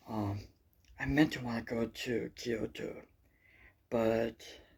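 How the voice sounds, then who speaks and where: A man speaks softly at a medium pitch. His intonation is fairly even. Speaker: travel vlogger. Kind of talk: casual travel vlog talk. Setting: indoors early morning, others sleeping. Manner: quiet, soft-spoken; halting, many fillers.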